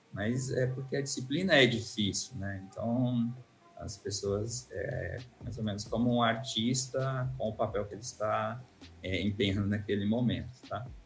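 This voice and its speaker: Someone with a Brazilian interior accent speaks with audible room echo and music in the background. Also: man. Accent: caipira (rural Brazilian interior). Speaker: university professor. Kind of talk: interview. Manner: hesitant, many fillers.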